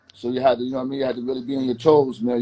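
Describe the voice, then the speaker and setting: With music in the background, a man with an American accent talks at medium pitch. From New York City, Staten Island (West Brighton). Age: 50s. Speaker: local shop owner. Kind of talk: casual interview.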